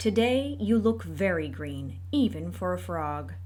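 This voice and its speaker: Over noticeable background noise, the speaker uses a put-on character voice at a fairly slow pace. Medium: read story.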